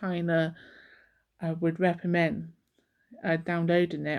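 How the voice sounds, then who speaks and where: A woman speaks in a fairly low pitch. The recording is very clean, with a silent background. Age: 40s. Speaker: vlogger. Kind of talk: casual chat. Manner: halting.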